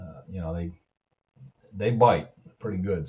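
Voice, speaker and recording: A man speaks in a somewhat breathy voice. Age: 70s. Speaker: video blogger. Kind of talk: product review. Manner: halting; casual.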